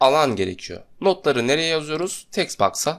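In a very clean recording with a silent background, a man with vocal fry speaks at a fairly high pitch and a moderate pace. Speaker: software tutorial instructor. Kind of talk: screen-recorded tutorial.

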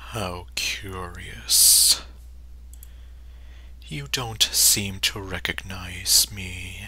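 A put-on character voice moves at a very slow pace, broken by long, frequent pauses. Noticeable background noise runs underneath. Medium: voice reel. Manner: cryptic, taunting.

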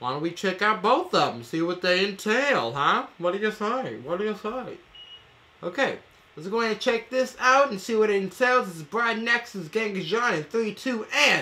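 With lively intonation, a man talks in a raised, projected voice. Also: moderate pace. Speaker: reaction video host. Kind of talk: casual reaction commentary. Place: home room.

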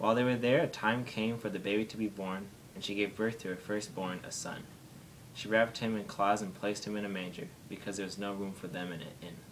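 Light background noise runs under a man with a fairly low pitch. He speaks at a very fast pace, with fairly even intonation. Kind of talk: reading aloud a nativity passage. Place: home room.

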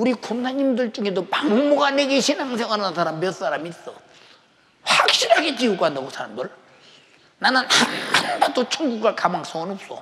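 A man projects a raised voice at a high pitch, his pitch swinging very widely at a moderate pace. Noticeable background noise runs under him. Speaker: pastor. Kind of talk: sermon. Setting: church. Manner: animated. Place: church. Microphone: lapel.

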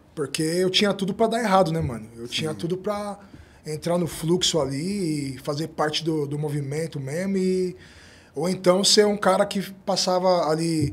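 With a high voice and ordinary pitch variation, the man keeps to a moderate pace. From São Paulo, south zone favela. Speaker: interview guest from the periphery; podcast guest. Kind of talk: interview testimony. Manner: halting with repetitions. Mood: reflective, calm. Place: studio. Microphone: studio mic.

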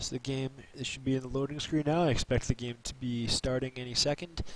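With light background noise and a dry sound with no echo, a man talks at a fairly quick pace. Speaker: stream commentator. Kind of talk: commentary.

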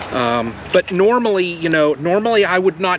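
Over loud background noise, a man talks at a fairly slow pace in a dry sound with no echo. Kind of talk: casual vlog chat. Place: garden. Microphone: camera far.

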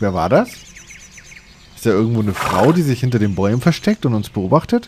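At a moderate pace, a man talks with big pitch swings in a fairly low pitch, his voice carrying a slightly husky edge and a slightly mellow tone.

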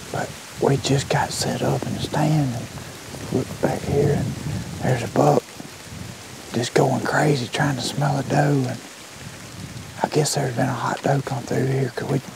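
Over loud background noise, a man speaks at a moderate pace with long, frequent pauses in a dry, echo-free sound. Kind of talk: hushed hunting commentary to camera. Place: forest.

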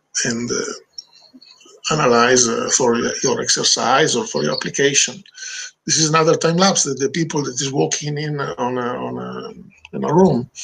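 This man has an Italian accent. He talks at a moderate speed. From Italy. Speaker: video director; webinar presenter. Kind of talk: webinar presentation. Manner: halting. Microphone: video call.

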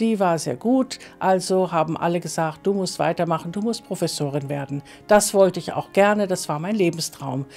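With faint music behind her, a woman talks at a moderate pace in a fairly low voice. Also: ordinary pitch variation. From northern Germany and Milan, Italy. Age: 60s. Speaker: trance medium; interviewee. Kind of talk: personal life story interview; interview answer. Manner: hesitant, many fillers. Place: studio.

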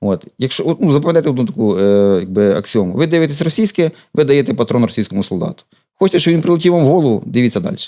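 Speaking very fast, a man with a fairly high voice and a dark, mellow tone swings his pitch very widely. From Ukraine, Ukrainian-speaking family. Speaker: volunteer and YouTube channel co-creator. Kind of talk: TV interview.

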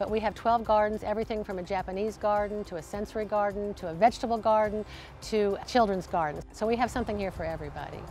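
Faint music sits behind a woman speaking at a very fast pace. Her intonation is fairly even, and the sound is dry with no echo. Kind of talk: interview answer. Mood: warm, proud. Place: garden.

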